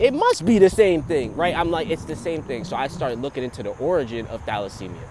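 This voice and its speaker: A man with an American accent speaks in an animated tone. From New Jersey, US. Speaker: vlogger. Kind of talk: casual monologue. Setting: outdoors on a trail. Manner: loud.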